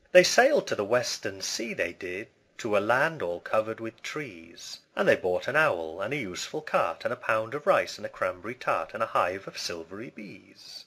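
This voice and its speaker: Hardly pausing at all, a man with a British accent speaks with big swings in loudness. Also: moderate pace. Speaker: English pronunciation teacher. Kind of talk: poetry reading.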